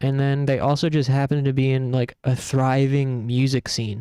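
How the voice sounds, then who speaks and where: Soft-spoken and monotone, the voice has a dark, mellow tone and flat intonation, captured in a dry, close, very clean recording with a silent background and no echo. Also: man. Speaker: gaming streamer. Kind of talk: casual live-stream commentary.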